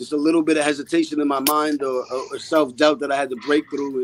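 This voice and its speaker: Noticeable background noise sits behind a man speaking at a fairly quick pace. His pitch is fairly high and his intonation monotone and flat. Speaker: rapper. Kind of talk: podcast interview. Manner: calm.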